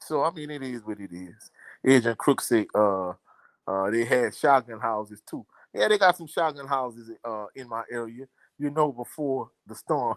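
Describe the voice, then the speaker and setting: A medium-pitched man with a strong Louisiana accent and big swings in loudness, with a dry, close sound, no echo, and a very clean recording with a silent background. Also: ordinary pitch variation, moderate pace. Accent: thick Louisiana. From Louisiana, Baton Rouge. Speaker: sports commentator. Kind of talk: live stream chat.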